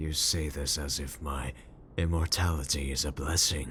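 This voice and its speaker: A put-on character voice moves at a fairly slow pace with fairly even intonation, over clear background noise. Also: man. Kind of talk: comfort roleplay audio. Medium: audio drama. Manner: cold, terse, measured.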